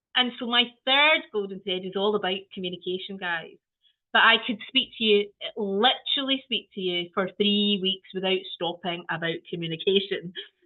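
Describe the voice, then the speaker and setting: Speaking with a Scottish accent, a woman keeps a medium pitch with ordinary pitch variation. Her pace is moderate. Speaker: early years trainer. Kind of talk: training webinar.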